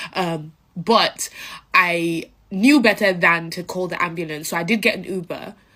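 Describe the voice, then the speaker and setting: A woman speaks with a London accent. Her pitch is medium, with ordinary variation. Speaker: social media creator. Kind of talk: casual storytelling to camera. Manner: hesitant with many fillers.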